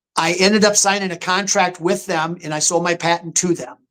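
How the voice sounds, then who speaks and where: The man's high voice keeps a fairly even intonation. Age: 60s. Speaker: taxidermy sculptor and hunter. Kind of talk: interview on live stream.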